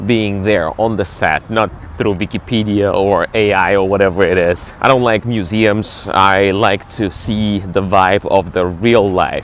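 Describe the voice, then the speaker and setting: Over noticeable background noise, the voice keeps a fairly even intonation. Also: man. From Ukraine, Kyiv. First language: Ukrainian or Russian. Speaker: travel vlogger and cruise ship entertainer. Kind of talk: casual travel vlog. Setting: outdoors, walking in city.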